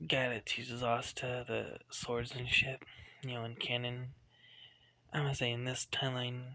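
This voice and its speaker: A man speaks quietly at a medium pitch, with a bright, sharp tone. His intonation stays monotone and flat. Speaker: fan fiction storyteller. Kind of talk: casual storytelling monologue. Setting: at home late at night. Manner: quiet, hushed; rambling, filler-heavy.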